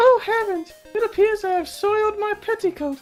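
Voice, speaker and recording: Faint music plays behind a put-on character voice at an extremely high pitch, delivered at a moderate pace in an English accent as part of the act. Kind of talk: posh, refined.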